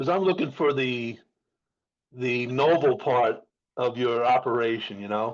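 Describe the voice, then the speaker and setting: A man speaks at a medium pitch with ordinary pitch variation, pausing often and at length. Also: fairly slow pace. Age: 60s. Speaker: podcast host. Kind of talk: casual chat.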